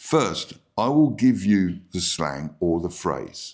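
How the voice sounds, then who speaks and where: A man's very deep, low pitch with vocal fry, very wide pitch swings and a very slow pace. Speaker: English teacher. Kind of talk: tutorial. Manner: clear, deliberate.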